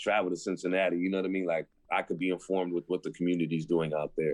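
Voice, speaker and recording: Speaking with an American accent, a man has a very deep, low pitch. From San Francisco, Lower Haight. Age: 40s. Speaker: rapper. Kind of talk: casual chat.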